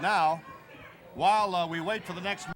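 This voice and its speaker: A man is speaking. Noticeable background noise is audible behind him. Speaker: wrestling TV announcer. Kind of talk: live broadcast commentary and interview lead-in.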